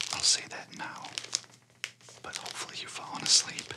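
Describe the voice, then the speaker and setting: Through loud background noise, a man whispers in a gentle tone. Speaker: relaxation video host. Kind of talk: calm guided meditation talk. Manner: gentle whispered sign-off. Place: home room.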